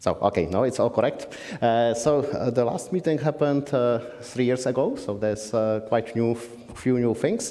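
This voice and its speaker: Audible room echo surrounds a man speaking at medium pitch. He keeps a moderate pace with ordinary pitch variation. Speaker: compiler developer presenting a session. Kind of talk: conference discussion session. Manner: halting, many fillers; loud.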